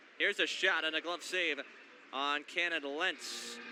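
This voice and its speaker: A man speaks with music in the background. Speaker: sports play-by-play announcer. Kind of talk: broadcast play-by-play with color commentary.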